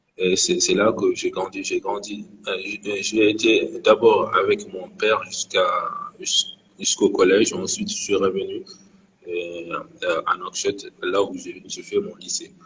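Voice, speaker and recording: A man talks very slowly while noticeable background noise carries on around him. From Mauritania. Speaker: guest sharing his experience of depression. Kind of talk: live interview testimony. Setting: Instagram live. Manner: halting, many hesitations and repetitions.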